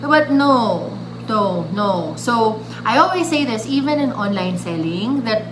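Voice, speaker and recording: A woman talks at a medium pitch with lively intonation. The room echo is audible and the background noise is noticeable. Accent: Filipino. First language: Filipino (Tagalog). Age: 30s. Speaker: vlogger. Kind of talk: tutorial. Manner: casual, with many fillers and restarts.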